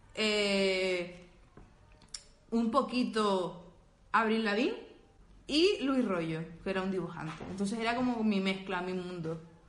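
Speaking very slowly with long, frequent pauses, a woman at medium pitch shows ordinary pitch variation as room echo is audible. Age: 20s. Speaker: podcast co-host. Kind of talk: casual chat. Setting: live stream.

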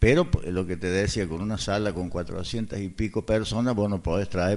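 A man talks at a moderate pace with vocal fry. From Córdoba, Argentina. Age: 60s. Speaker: former cinema owner. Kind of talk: radio interview. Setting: radio studio.

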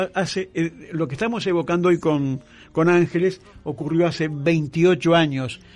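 The speech comes at a fairly slow pace in an Argentine accent. Intonation is fairly even throughout. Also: man, high pitch for a man. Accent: Argentine Spanish (Rioplatense). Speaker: radio host. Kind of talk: radio interview and presentation. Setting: radio studio.

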